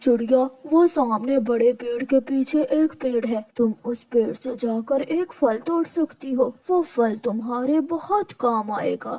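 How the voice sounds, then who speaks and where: Here is a female-sounding cartoonish character voice with a high pitch. It moves at a fairly slow pace. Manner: gentle, paternal.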